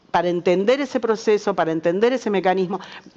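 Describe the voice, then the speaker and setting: A woman's voice in a Rioplatense accent, with ordinary pitch variation. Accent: Argentine Spanish (rioplatense). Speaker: journalist, panelist. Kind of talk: panel discussion.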